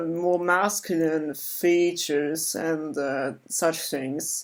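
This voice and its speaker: The pace is very slow, and the recording is very clean with a silent background. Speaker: vlogger. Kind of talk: personal vlog monologue. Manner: halting, many filler words.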